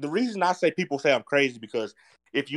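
A man with a North Carolina accent, fairly high-pitched with vocal fry, very wide pitch swings and a moderate pace, on a very clean recording with a silent background. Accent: Southern US (North Carolina). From North Carolina, US. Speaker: podcast co-host, motocross track builder. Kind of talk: casual chat.

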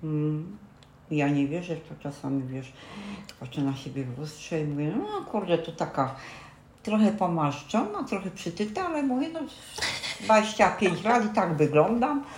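At a moderate pace with very wide pitch swings, the voice carries audible room echo over noticeable background noise. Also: woman, fairly low pitch for a woman. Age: 60s. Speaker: grandmother, retiree. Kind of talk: casual chat. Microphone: poor built-in mic, low quality.

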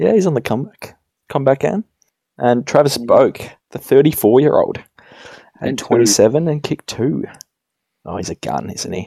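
A man with an Australian accent speaks at a moderate pace in a fairly high pitch, with a dark, mellow tone, vocal fry and very wide pitch swings. His long, frequent pauses come through a dry, close sound with no echo. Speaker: podcast host. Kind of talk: casual chat.

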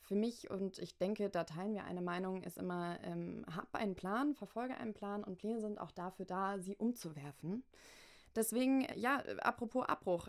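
Pacing is moderate as a woman speaks in a normal speaking voice. Her medium pitch shows ordinary variation. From Hamburg, northern Germany. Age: 20s. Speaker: podcast host and university student. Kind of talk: casual interview.

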